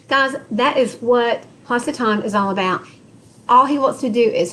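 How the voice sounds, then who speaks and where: At a fairly slow pace, a woman with a Texas accent speaks in a high pitch with ordinary pitch variation. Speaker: Bible study teacher. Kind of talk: Bible study group session with scripture reading.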